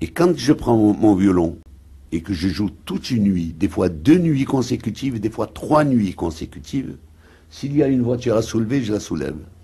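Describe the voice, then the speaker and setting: A man's dark, mellow, somewhat breathy voice at a moderate pace against a quiet background. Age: 70s. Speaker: violinist. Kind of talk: interview. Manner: halting, repetitive.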